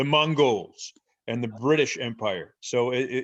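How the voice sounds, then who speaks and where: A man talks in a medium pitch with an American accent. The background is quiet. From New Jersey. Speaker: professor. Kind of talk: interview.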